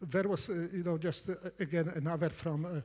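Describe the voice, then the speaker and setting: A man's dark, mellow tone with a Polish accent. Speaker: competitive programming coach. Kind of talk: conference talk. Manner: halting, many fillers.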